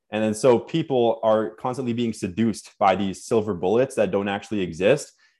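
A Canadian-accented man with an ordinary speaking voice and medium pitch talks at a fairly quick pace. He uses ordinary pitch variation and hardly any pauses. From Canada (born Nova Scotia, moved around). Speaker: fitness and personal growth coach. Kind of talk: podcast interview.

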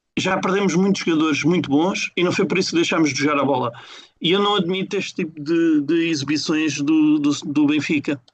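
This man has an ordinary speaking voice with fairly high pitch and fairly even intonation. He talks at a fairly quick pace and his loudness stays very even. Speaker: football fan podcaster. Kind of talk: casual chat.

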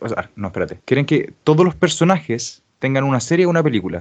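A man with a Chilean accent and lively intonation. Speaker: podcast host and editor. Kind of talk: casual chat.

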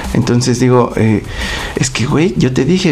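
A man with a Mexican accent talks at a moderate pace with lively intonation. Audible room echo and noticeable background noise surround his voice. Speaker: podcast co-host. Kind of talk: casual chat.

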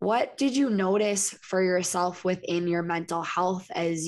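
A woman with a normal speaking voice talks at a fairly slow pace, her fairly low pitch showing ordinary variation. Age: 30s. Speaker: podcast host. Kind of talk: casual interview chat.

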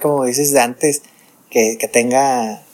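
A man is speaking. His pace is fairly slow. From northern Mexico. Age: 40s. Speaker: podcast host. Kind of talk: casual chat. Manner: halting.

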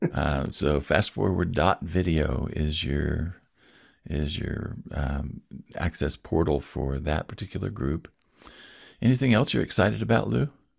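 Fairly slowly and at a very deep, low pitch, a man speaks with vocal fry and lively intonation. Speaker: podcast host. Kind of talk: casual interview conversation.

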